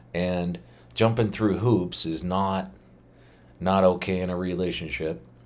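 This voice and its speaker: A man with a very deep, low pitch, fairly even intonation and a fairly slow pace, broken by long, frequent pauses, amid audible room echo. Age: 50s. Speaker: podcast host. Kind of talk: casual monologue. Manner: loose, halting with fillers.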